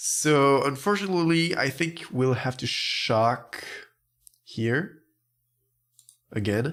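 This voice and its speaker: In a French accent, a man with a fairly high pitch speaks very slowly with lively intonation and long, frequent pauses on a very clean recording with a silent background. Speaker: gaming YouTuber, card game commentator. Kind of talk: gameplay commentary. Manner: careful, deliberate pronunciation.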